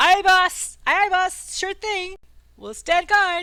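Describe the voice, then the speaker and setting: In a put-on character voice, a woman speaks squeaky and extremely high at a fairly slow pace, her intonation fairly even but her loudness swinging widely. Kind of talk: rough, colloquial. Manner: eager, subservient.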